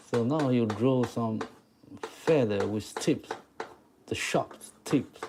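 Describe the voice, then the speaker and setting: Spoken with a Chinese accent, the speech moves at a very slow pace with long, frequent pauses. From Taiwan. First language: Mandarin Chinese. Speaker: chalk art teacher. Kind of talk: live stream drawing tutorial. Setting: live stream. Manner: halting.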